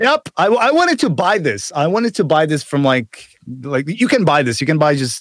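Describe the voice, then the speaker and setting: A man in a Czech accent speaks with very wide pitch swings in a dry, close sound with no echo. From Czech Republic. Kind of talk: casual chat. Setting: video call, remote guest.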